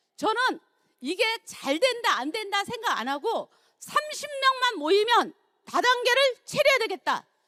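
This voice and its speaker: The voice is raised and projected, bright and sharp in tone, with very wide pitch swings at a fairly slow pace. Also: woman, extremely high pitch for a woman. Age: 60s. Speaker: network marketing business leader. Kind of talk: seminar talk, personal success testimony.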